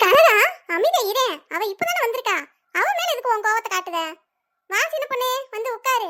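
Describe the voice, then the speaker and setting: In a squeaky, cartoonish character voice, a woman speaks at a moderate pace with lively intonation and an extremely high pitch. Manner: warm, chatty, easily amused.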